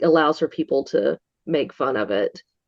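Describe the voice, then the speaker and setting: A woman with an American accent speaks at a moderate pace in a very deep, low voice. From north Georgia mountains, US South. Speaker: Bigfoot museum worker, witness. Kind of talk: interview. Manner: occasional stumbling over words.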